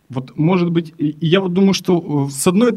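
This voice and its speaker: A man with a high-pitched voice talks at a fairly slow pace. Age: 20s. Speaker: therapy client. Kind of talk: therapy session. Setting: studio.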